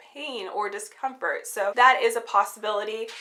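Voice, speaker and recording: A woman talks while noticeable noise carries in the background. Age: 20s. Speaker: beauty and lifestyle vlogger. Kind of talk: casual vlog talk to camera. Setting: at home.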